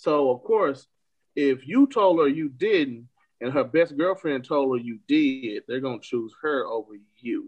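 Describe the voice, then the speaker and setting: Speaking at a fairly slow pace, a man uses a fairly high pitch with ordinary pitch variation in an unremarkable speaking voice. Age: 20s. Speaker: podcast co-host. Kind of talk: casual chat.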